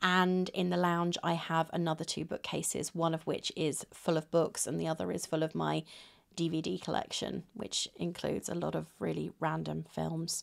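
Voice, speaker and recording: A woman with a British accent talks at a moderate pace over a quiet background. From Britain. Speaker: booktuber. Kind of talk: casual vlog monologue. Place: home room. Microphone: phone near.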